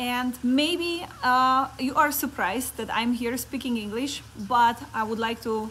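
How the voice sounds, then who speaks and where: With a Polish accent, a woman talks at a fairly slow pace in a high voice with ordinary pitch variation. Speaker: network marketing coach. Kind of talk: motivational talk. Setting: Facebook live stream. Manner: halting.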